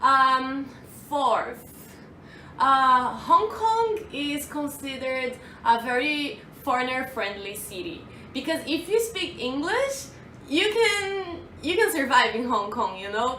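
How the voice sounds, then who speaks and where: A woman's raised, projected voice with a Brazilian accent, high-pitched, bright and sharp, very slow, with very wide pitch swings and audible room echo. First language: Portuguese. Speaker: vlogger. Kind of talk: casual vlog. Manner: hesitant, with fillers.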